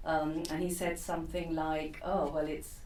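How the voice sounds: Speaking at a fairly slow pace with little pitch movement, a woman's low voice carries audible room echo.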